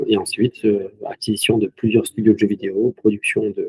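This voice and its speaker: The man's pace is fairly quick. The sound is dry and close, with no echo. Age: 30s. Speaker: video game company co-founder. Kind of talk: interview.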